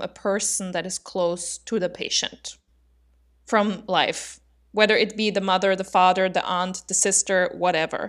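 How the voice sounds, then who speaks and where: On a very clean recording with a silent background, a woman speaks at a medium pitch with fairly even intonation. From Austria. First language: German. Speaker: podcast co-host. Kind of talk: casual educational discussion. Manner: laughs often.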